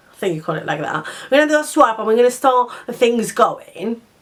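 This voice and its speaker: A woman with a Spanish accent speaks at a fairly quick pace with lively intonation. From Spain. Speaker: vlogger. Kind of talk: casual chat. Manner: halting.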